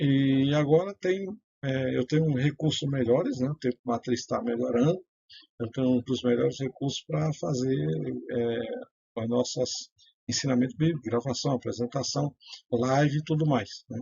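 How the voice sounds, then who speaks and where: Pausing long and often, a man talks at a moderate pace with ordinary pitch variation. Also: medium pitch for a man. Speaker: self-styled priest and religious writer. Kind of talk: religious teaching monologue. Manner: hesitant, many fillers.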